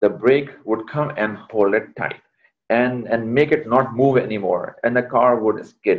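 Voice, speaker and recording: Medium in pitch with ordinary pitch variation, this man has an unremarkable speaking voice. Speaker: leadership coach, workshop trainer. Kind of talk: online workshop lecture. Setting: video call.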